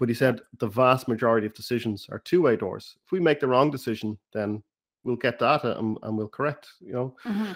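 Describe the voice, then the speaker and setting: The sound is dry and close with no echo, as a man speaks fairly quickly in an Irish accent. His pitch is medium, with ordinary variation. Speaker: podcast host. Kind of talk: interview, casual conversation.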